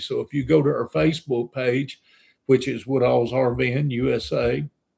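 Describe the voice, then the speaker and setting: A man speaks at a fairly slow pace in a medium-pitched, somewhat breathy voice. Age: 60s. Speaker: RV travel vlogger. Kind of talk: casual chat. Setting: live stream. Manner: halting.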